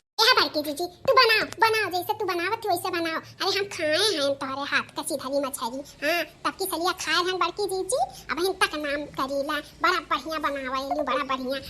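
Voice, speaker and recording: A woman's cartoonish character voice at an extremely high pitch, clear background noise behind it. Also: moderate pace. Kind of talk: cartoon village comedy. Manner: rustic, chattering.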